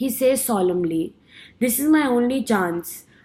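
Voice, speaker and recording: A dark, mellow tone in an Indian accent at a moderate pace. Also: woman. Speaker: student. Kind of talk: class speech. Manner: halting, with self-corrections.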